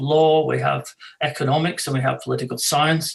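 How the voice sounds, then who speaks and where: A man speaks at a moderate pace. He has a slight Scottish accent. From Scotland. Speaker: law professor and arbitrator. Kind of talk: webinar self-introduction. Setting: video webinar. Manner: halting, many fillers.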